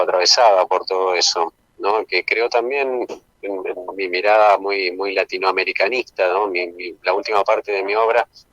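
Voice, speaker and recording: This man has a plain, everyday voice with a fairly low pitch. His intonation is fairly even. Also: dry, close sound with no echo. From Argentina, Misiones (Puerto Iguazú). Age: 50s. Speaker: documentary filmmaker. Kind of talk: interview.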